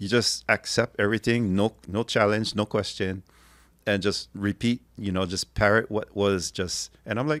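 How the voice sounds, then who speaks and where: Fairly low in pitch and even in intonation, a man speaks with a Hawaiian accent on a very clean recording with a silent background and a dry, close sound with no echo. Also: moderate pace. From Hawaii, Kauai. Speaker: linguist and translator. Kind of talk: interview conversation.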